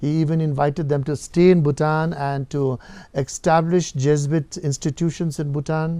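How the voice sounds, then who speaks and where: A man's dark, mellow tone in a flat monotone. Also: fairly high pitch for a man, moderate pace. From Bhutan. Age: 60s. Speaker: Jesuit priest and educator. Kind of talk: interview answer.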